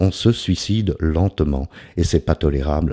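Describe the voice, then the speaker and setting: A man's dark, mellow voice, dry and close with no echo, on a very clean recording with a silent background. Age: 60s. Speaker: recovering alcoholic vlogger. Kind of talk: personal testimony vlog. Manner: hesitant, many fillers.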